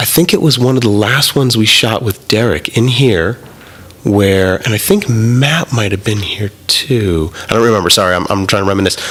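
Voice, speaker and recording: A man talks at a fairly low pitch and a moderate pace. Noticeable background noise can be heard. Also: ordinary pitch variation. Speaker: podcast host and photographer. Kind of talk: casual chat. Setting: studio.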